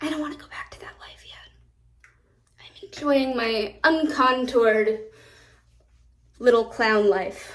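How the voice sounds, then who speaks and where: A woman with an American accent speaks at a fairly slow pace, with long, frequent pauses and big swings in loudness. Her pitch is high, with ordinary variation. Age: 20s. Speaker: beauty content creator. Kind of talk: casual makeup vlog talk. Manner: chatty, rambling with self-corrections.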